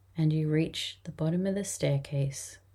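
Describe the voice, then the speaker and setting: A woman speaks in a very deep, low pitch with a dark, mellow, somewhat breathy tone that is gentle and soothing. The recording is very clean, with a silent background. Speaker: podcast host and hypnotherapy guide. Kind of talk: guided hypnosis induction and meditation script. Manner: slow, soft, soothing and rhythmic, with long calming pauses; gentle and hypnotic, repeating relaxing phrases.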